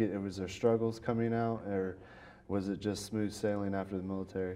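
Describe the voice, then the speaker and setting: A man speaks fairly quickly with a slight Southern US accent. His fairly low voice has a dark, mellow tone and flat, monotone intonation. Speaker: podcast host, interviewer. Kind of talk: interview.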